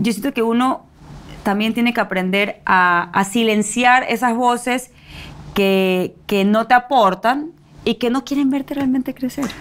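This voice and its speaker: A woman at a very slow pace with ordinary pitch variation. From Ecuador. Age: 20s. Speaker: actress; actress guest. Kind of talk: interview. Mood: reflective, animated. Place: studio.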